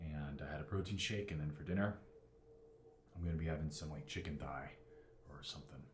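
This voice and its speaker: A man's very deep, low voice at a fairly quick pace with ordinary pitch variation, long and frequent pauses, and audible room echo. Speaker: fitness vlogger. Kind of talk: casual vlog talk. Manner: talking loud on purpose.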